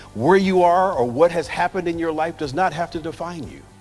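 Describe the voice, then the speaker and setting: Music plays in the background. A high-voiced man talks at a fairly quick pace. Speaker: keynote speaker. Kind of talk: motivational keynote speech.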